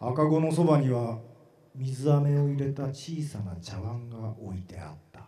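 A man at a fairly slow pace with lively intonation, big swings in loudness, and audible room echo. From Japan, Matsue. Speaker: actor. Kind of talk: literary reading performance. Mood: eerie, hushed storytelling. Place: stage. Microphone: handheld.

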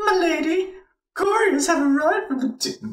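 At a moderate pace, the speaker uses a put-on character voice pitched extremely high. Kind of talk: formal, archaic.

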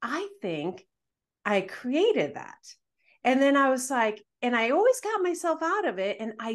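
Fairly slow delivery with very wide pitch swings over a quiet background. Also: woman. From Dominican Republic. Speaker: manifestation content creator. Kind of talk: casual interview. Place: home room. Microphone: video call.

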